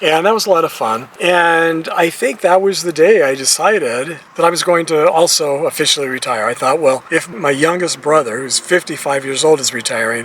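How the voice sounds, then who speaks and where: This man's voice sits fairly high and moves through ordinary pitch variation. Background noise is noticeable. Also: moderate pace, hardly any pauses. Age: 60s. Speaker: retiree vlogger. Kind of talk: casual monologue vlog. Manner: conversational, hesitant restarts.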